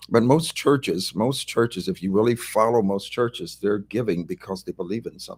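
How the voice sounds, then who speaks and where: Speaking in a normal speaking voice at medium pitch, a man talks at a fairly quick pace with lively intonation and hardly any pauses, in a dry, close sound with no echo. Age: 60s. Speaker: pastor. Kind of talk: casual chat.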